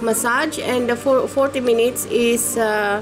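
Over clear music in the background, a high-pitched woman talks at a very slow pace. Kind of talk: casual promotional talk. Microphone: webcam.

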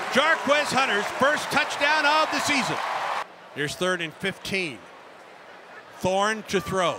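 A man with a high voice speaks very slowly, his pitch swinging very widely, in a dry recording with no echo but loud background noise. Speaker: football radio commentator. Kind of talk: sports commentary. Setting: stadium game broadcast highlights. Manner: crisp, urgent rhythm with short clipped phrases. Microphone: headset.

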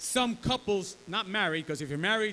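Over light background noise, a man speaks with a bright, sharp tone and lively intonation. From New York City, Bronx (Puerto Rican family). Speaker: pastor. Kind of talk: sermon with live interpreter. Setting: church. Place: church. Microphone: podium.

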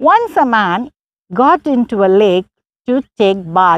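Her pitch swings very widely as this woman speaks, and the sound is dry with no echo. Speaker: preacher. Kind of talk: bilingual sermon storytelling, Tamil with English translation. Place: open country. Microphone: lapel.

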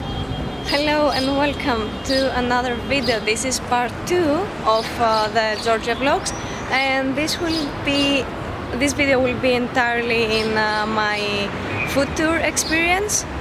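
A woman speaks at a very slow pace. Loud background noise fills the dry recording, which has no echo. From Greece. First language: Greek. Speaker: travel vlogger. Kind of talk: casual travel vlog talk to camera. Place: street. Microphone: phone near.

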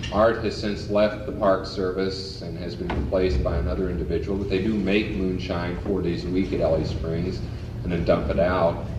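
Noticeable background noise sits behind a man with a very deep, low pitch. He speaks at a moderate pace with ordinary pitch variation. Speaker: lecturer on folk culture. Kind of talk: lecture. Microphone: old recording.

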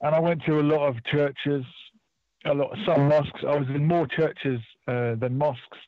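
Over a quiet background, the voice keeps a moderate pace and fairly even intonation, the sound dry with no echo. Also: man. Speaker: radio caller. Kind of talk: phone-in conversation, personal travel account. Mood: calm, reflective storytelling. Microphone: phone line.

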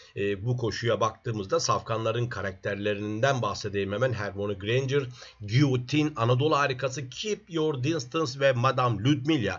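Breathiness comes through somewhat, while the pitch varies in an ordinary way. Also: man. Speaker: horse racing tipster. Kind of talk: racing predictions monologue. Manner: fillers and hesitations.

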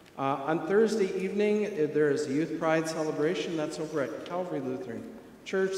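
A man speaks over light background noise, with audible room echo. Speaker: pastor. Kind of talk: church announcements. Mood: warm, friendly. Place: church.

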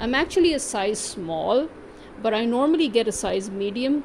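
Woman's voice with lively intonation, moderate pace and light background noise. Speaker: vlogger. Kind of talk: angry rant; consumer complaint. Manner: indignant, sarcastic; emphatic, repetitive. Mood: irritated, complaining. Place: home room. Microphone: phone near.

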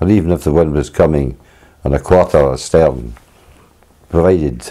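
A man with a Scottish accent talks in a very deep, low pitch, leaving long, frequent pauses. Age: 80s+. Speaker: sea kayaker, filmmaker. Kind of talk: home movie narration, reminiscing.

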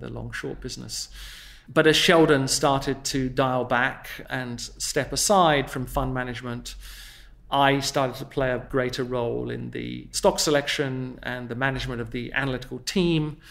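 This man talks at a moderate pace. His loudness swings widely. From southern England. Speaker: investment portfolio manager. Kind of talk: interview. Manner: formal.

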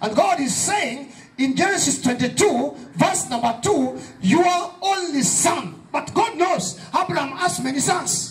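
An extremely high-pitched man speaks at a fairly slow pace in an animated tone, his pitch swinging very widely. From Kenya. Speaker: pastor. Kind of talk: fervent evangelistic sermon at a youth rally, call-and-response. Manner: emphatic, repetitive preaching cadence; animated, prompting audience amens.

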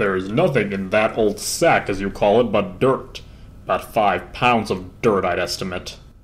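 A man does a put-on character voice at a fairly low pitch. He keeps a moderate pace. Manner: stiff, fussy, gloomy.

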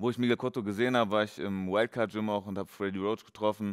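A plain, everyday voice talks at a fairly quick pace with fairly even intonation over a quiet background. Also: man. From western Germany, Dortmund area; western Germany. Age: 30s. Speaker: professional boxer; guest. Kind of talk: casual interview. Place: gym. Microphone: headset.

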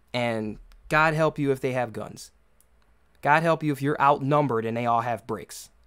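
With an American accent, a man speaks at a moderate pace and ordinary pitch variation against a quiet background. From US, urban neighborhood. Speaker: podcast host. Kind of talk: solo commentary monologue. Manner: halting, many repetitions and fillers. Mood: concerned, earnest. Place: home room.

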